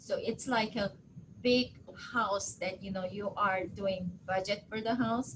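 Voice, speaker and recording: A woman speaks with a Korean accent. Her pace is fairly slow, and her pitch varies in an ordinary way. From Japan. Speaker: county politician. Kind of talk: webinar interview.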